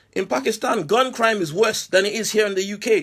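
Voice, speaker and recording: Loud and animated, a man with a high pitch speaks at a very fast pace. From Nigeria. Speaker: online commentator. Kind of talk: rant. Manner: loud, raised voice.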